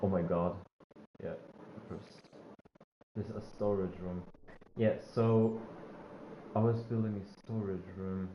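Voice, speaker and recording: A man with a non-native accent speaks at a fairly slow pace with long, frequent pauses and monotone, flat intonation. His loudness swings widely, and there is audible room echo. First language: not English. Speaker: gaming streamer. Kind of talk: live gameplay commentary. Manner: halting, many fillers.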